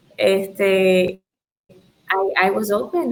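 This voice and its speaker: Spanish-accented speech from a woman at medium pitch. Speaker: tint shop owner. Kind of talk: podcast interview.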